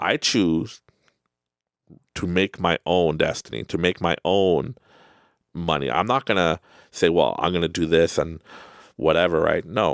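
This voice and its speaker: In a Canadian accent, a man with a very deep, low pitch and vocal fry talks at a fairly slow pace with long, frequent pauses and very even loudness, on a very clean recording with a silent background. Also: ordinary pitch variation, dry, close sound with no echo. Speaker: self-help podcast host. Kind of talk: motivational monologue. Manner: casual, conversational.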